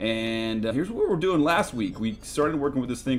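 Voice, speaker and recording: Music plays in the background as a man talks at a fairly quick pace. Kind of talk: tutorial.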